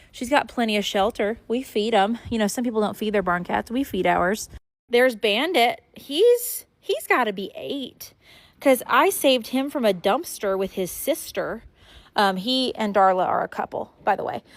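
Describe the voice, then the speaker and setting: A woman speaks in a plain, everyday voice with lively intonation. Her pace is moderate. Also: fairly high pitch for a woman. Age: 20s. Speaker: farm vlogger. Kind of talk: casual vlog.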